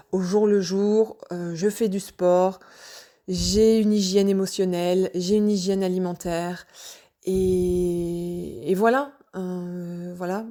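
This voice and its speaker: Very slow, dark, mellow woman's voice at a medium pitch, with fairly even intonation and a Normandy accent. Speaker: personal vlogger sharing wellbeing journey. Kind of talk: personal testimony, casual monologue. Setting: home, evening audio recording. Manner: hesitant, many fillers.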